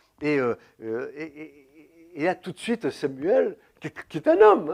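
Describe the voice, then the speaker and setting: A man with a normal speaking voice, fairly high in pitch, with lively intonation. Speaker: preacher. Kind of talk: sermon.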